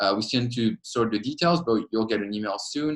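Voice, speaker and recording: Speaking with a French accent, a man uses a medium pitch and ordinary pitch variation. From France. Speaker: PhD student and student association leader. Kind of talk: informational webinar talk. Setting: webinar.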